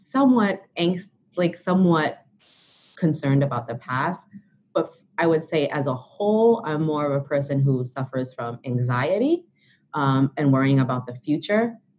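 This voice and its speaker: A woman's very deep, low voice at a moderate pace, with lively intonation. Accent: New York. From Brooklyn, New York. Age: 30s. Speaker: author and blogger. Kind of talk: interview.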